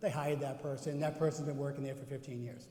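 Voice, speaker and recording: Audible room echo surrounds a voice with a slight Boston accent moving at a fairly quick pace. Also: man. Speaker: cardiovascular educator / presenter. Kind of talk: conference workshop presentation with audience interaction. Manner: animated, conversational.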